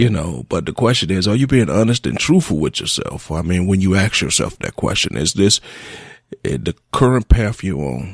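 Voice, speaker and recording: A man speaks with a very deep, low pitch. His voice has vocal fry. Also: dry, close sound with no echo. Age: 40s. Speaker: radio host. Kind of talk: reflective monologue. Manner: halting.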